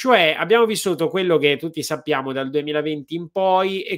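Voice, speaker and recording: The background stays quiet. A man's speech moves at a moderate pace. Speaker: host of live talk show. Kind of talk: interview question and chat. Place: home room. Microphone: studio mic.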